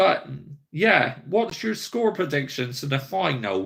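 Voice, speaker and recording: On a very clean recording with a silent background, a man with a slight Bristol accent talks at a fairly slow pace and a fairly high pitch. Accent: Bristolian accent, a bit. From West Country England, Somerset. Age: 30s. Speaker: football YouTuber. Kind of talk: live stream chat with viewers. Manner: casual, conversational.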